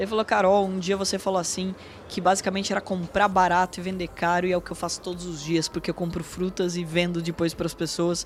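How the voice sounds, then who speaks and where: At a very fast pace, a woman talks in a fairly low pitch with monotone, flat intonation. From Brazil, São Paulo state (Porto Feliz). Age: 30s. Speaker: financial market executive and educator. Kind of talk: interview. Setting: studio.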